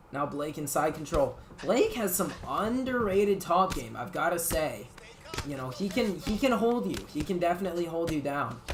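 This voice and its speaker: An animated tone at a moderate pace over noticeable background noise. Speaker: esports tournament commentator. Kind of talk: live commentary.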